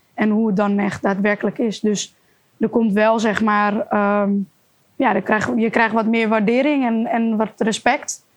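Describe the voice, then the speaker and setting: With a plain, everyday voice, a woman speaks at a fairly high pitch and a fairly slow pace, keeping very even loudness and fairly even intonation. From Amsterdam area, Netherlands. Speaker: kickboxer. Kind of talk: interview.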